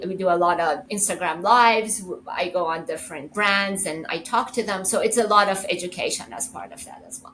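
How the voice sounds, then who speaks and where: A woman with an American accent speaks at a fairly quick pace and medium pitch in a bright, sharp tone, with hardly any pauses and big swings in loudness. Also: ordinary pitch variation. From US West Coast. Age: 60s. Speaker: lawyer and beauty brand founder. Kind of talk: interview.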